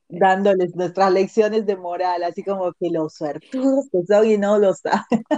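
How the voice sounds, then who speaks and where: In a dry, close sound with no echo, a woman at medium pitch speaks at a moderate pace with ordinary pitch variation and hardly any pauses. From Latin America. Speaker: podcast host. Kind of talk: casual interview chat.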